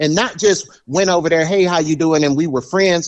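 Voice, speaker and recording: With a Southern US accent, a man speaks at a fairly high pitch. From US South, military base housing. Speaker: podcast guest, friend of host. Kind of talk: casual chat.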